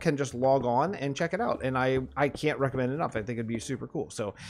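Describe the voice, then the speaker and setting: A man is speaking. Music plays in the background. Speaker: Minecraft streamer. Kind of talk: casual livestream chat. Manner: fast; animated.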